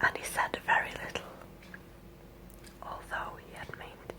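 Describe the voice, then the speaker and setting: A whisper at a fairly slow pace over noticeable background noise. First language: Scandinavian language. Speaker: ASMR creator. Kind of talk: ASMR reading aloud. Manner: whispering.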